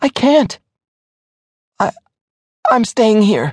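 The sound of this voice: A shaky, put-on character voice sits at a fairly high pitch.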